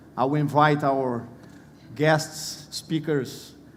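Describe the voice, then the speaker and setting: Audible room echo surrounds a man with a Portuguese accent who speaks at a fairly high pitch with ordinary pitch variation. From Brazil. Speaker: panel moderator. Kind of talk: conference panel introduction.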